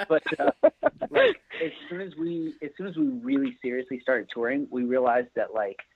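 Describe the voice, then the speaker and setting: A man with a normal speaking voice, fairly high in pitch, with ordinary pitch variation and a moderate pace. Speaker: touring band member. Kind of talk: casual interview.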